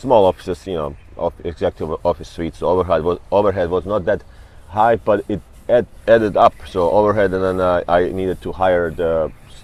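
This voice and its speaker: A man's very deep, low voice with a non-native accent, fairly even intonation, big swings in loudness and a fairly quick pace. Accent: foreign. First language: not English. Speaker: real estate broker. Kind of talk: interview. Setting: hotel. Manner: halting.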